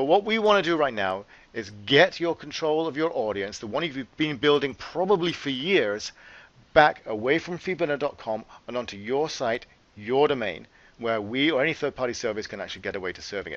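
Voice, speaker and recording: Talking at a fairly quick pace, a man uses a fairly high pitch with very wide pitch swings. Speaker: company CEO. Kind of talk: webcast presentation with slides. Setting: webcast. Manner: conversational, some filler words.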